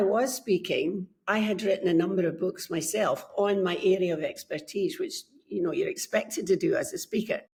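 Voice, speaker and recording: A woman speaks in a Scottish accent at a fairly high pitch, her voice somewhat breathy. Her pitch swings very widely, and her pace is moderate. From Scotland. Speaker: book coach. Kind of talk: podcast interview.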